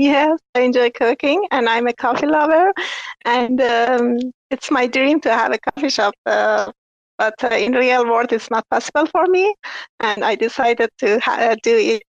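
Over a dry, close sound with no echo, a woman speaks at a high pitch and a fairly slow pace, with ordinary pitch variation and very even loudness. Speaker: NFT artist. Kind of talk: casual chat. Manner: halting.

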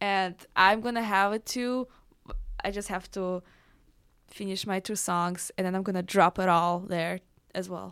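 Medium-pitched woman with a Russian accent, at a fairly slow pace with long, frequent pauses, on a very clean recording with a silent background. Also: fairly even intonation. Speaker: electronic music producer and DJ. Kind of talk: radio interview. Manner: halting.

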